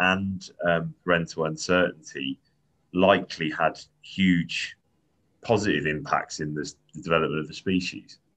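Over a quiet background, a man speaks with a very deep, low pitch. His tone is bright and sharp, and his intonation fairly even. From Devon, England. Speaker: podcast host. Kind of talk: casual interview. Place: home room. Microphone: video call.

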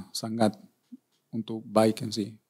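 A man's fairly low voice in a Spanish accent, dark and mellow in tone, with fairly even intonation and a quiet background. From Argentina. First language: Spanish (speaking Indonesian). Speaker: former footballer and coach; coach. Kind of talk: interview. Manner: halting, repeats words. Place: studio. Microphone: studio mic.

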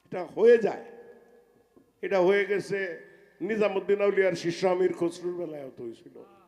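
A man speaks at high pitch with ordinary pitch variation. His loudness swings widely. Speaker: folk singer. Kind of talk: stage talk between songs.

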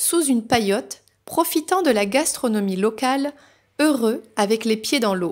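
Very slowly, a woman talks while the background stays quiet. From France, raised in countryside near Paris. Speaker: novelist and spiritual guidance youtuber; spiritual guidance youtuber. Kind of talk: reading aloud. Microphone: phone near.

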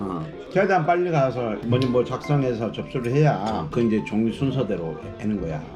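Over music in the background, a man at medium pitch speaks at a moderate pace with very wide pitch swings. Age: 50s. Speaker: retired father. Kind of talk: casual family vlog talk. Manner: playfully exaggerating illness, groaning.

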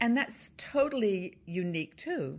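A woman speaks at a fairly slow pace with big pitch swings. The recording is very clean, with a silent background. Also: medium pitch for a woman.

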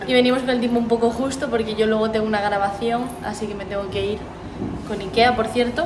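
A woman speaks at a very fast pace and a fairly high pitch, with fairly even intonation and noticeable background noise. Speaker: paralympic athlete vlogger. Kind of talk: vlog. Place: hall. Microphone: phone near.

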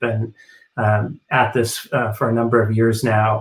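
Somewhat breathy, a man speaks at medium pitch with an American accent. His intonation is monotone and flat. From United States. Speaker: ballet company executive director. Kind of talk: live panel discussion. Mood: thoughtful, measured. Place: home room. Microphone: webcam.

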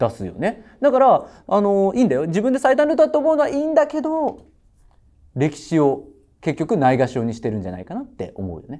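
A man's high voice, dark and mellow in tone, makes very wide pitch swings. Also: fairly quick pace. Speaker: tutoring school owner on judging panel. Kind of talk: panel critique. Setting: studio panel. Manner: casual, reflective. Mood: earnest, advising. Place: studio. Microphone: lapel.

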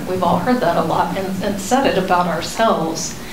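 A woman speaks at a medium speed, her pitch shifting normally, while clear noise runs in the background. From Texas. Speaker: therapist. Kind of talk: lecture. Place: meeting room. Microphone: handheld.

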